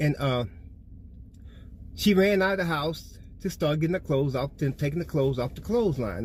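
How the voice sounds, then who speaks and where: Lively intonation and a moderate pace mark this somewhat breathy voice. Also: man. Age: 60s. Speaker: spiritual storyteller. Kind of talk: personal testimony. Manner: casual, conversational.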